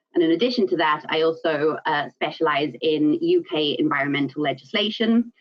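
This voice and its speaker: This woman speaks with a South African accent. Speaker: environmental consultant and business owner. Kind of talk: presentation. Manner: frequent fillers (um, uh).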